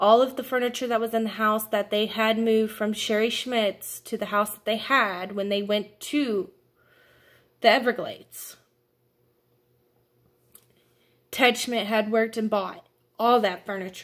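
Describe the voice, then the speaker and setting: A woman at a fairly slow pace, monotone and flat, with long, frequent pauses and a quiet background. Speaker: vlogger telling a family story. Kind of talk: casual vlog chat. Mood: upset, indignant. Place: home room. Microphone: phone near.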